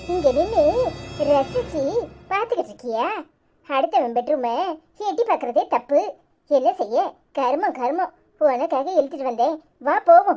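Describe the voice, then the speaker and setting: With faint music in the background, a woman in a cartoonish character voice talks at a fairly slow pace, her high pitch carried by lively intonation. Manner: blunt, lecturing.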